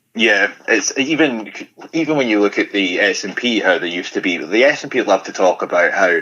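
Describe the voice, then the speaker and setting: A man talks in a Highland Scottish accent. His pace is fairly quick. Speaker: political commentator. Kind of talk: radio interview. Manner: halting.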